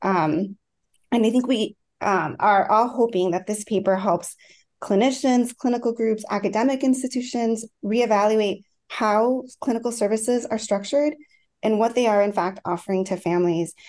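Against a quiet background, a woman with a plain, everyday voice speaks at a moderate pace, her pitch fairly high with ordinary variation and her loudness very even. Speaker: clinical psychologist. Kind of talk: panel discussion. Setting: video call.

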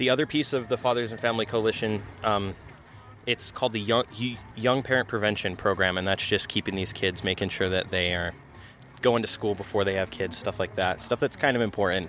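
Over music in the background, a man talks at a fairly quick pace in a fairly low pitch. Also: ordinary pitch variation. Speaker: food truck youth program staff. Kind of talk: casual interview. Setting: outdoors at event.

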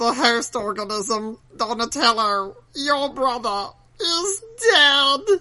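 A put-on character voice at a fairly high pitch and a very slow pace. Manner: menacing, dramatic.

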